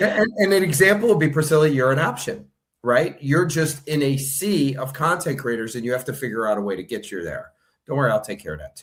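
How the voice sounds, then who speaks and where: A man's somewhat breathy voice at a fairly quick pace, with very wide pitch swings. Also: big swings in loudness. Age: 60s. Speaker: online news platform owner. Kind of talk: interview.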